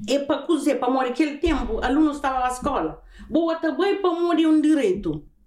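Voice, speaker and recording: A woman talks at a fairly quick pace in a high pitch, with ordinary pitch variation and very even loudness. Noticeable background noise and audible room echo surround her voice. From Cape Verde, Santiago island. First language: Cape Verdean Creole (speaking Portuguese). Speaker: podcast host's mother. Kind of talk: casual chat.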